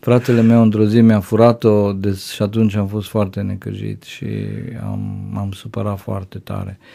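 A man speaks at a moderate pace in a fairly low pitch, his dark, mellow tone held to a flat monotone while his loudness swings widely. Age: 50s. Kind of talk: interview testimony.

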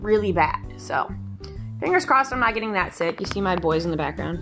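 A woman talks while clear music sounds behind her. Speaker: vlogger. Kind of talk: casual vlog chat. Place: home room. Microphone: phone near.

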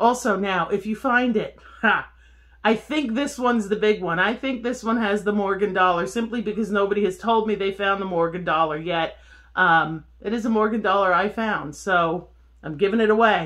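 There is a quiet background. The woman's pace is moderate, and her pitch varies in an ordinary way. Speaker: metal detecting vlogger. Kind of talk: casual vlog chat. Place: home room. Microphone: phone near.

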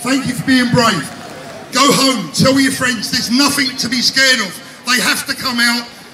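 A man's raised, projected voice at a moderate pace with fairly even intonation, amid light background noise and audible room echo. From Britain. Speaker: rally speaker. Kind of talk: rally speech. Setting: outdoor rally with crowd. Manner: emotional, rousing, crowd-addressing. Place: street.

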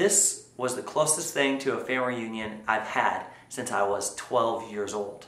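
A man speaks at a fairly slow pace with a fairly bright tone. Strong room echo surrounds his voice. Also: fairly low pitch for a man, ordinary pitch variation.

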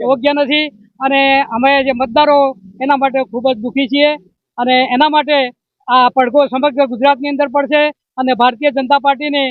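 Extremely high-pitched man's voice, monotone and flat in intonation, with very even loudness. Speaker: retired bank employee, party worker. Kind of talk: street interview at protest.

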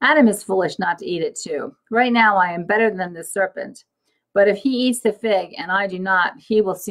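The speaker uses a natural reading voice. Pitch varies in an ordinary way over a quiet background.

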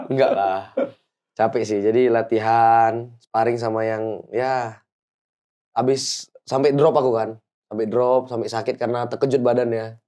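A man speaks in a dark, mellow tone with a monotone, flat intonation at a fairly slow pace. The background is quiet. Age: young. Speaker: amateur boxer; guest. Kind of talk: casual interview. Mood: relaxed, friendly, smiling. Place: studio. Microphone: lapel.

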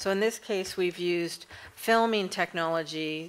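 A woman speaks at a fairly slow pace with fairly even intonation and a fairly low pitch. It is an ordinary speaking voice. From Canada. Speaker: nonprofit program manager. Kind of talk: panel presentation. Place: hall. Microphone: podium.

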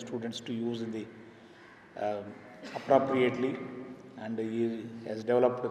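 A man talking at a fairly quick pace in a monotone, flat delivery, with audible room echo and light background noise. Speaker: conference host introducing speaker. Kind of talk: formal introduction speech. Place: hall. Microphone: podium.

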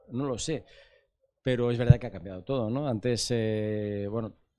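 A man's tone is dark and mellow. He talks at a moderate pace. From Spain. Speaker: film TV program director; interviewee. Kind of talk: interview. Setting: festival set. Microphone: handheld.

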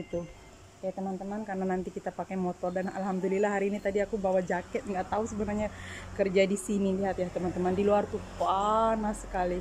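A woman talks at a very fast pace in a flat monotone over light background noise. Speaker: cleaning service worker vlogger. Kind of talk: casual vlog chat. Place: home room. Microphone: phone near.

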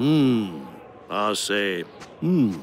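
A man puts on a cartoonish character voice at a fairly low pitch. He speaks very slowly with lively intonation.

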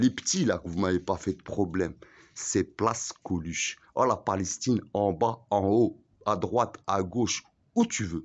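Speaking at a fairly slow pace, a man uses a fairly low pitch with ordinary pitch variation. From Algeria. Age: 40s. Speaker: vlogger; self-styled boss vlogger. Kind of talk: rant; casual vlog rant. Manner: halting. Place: street. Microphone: phone near.

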